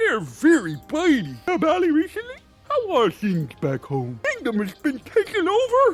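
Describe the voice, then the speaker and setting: A put-on character voice moves at a moderate pace while faint music plays in the background. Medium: machinima.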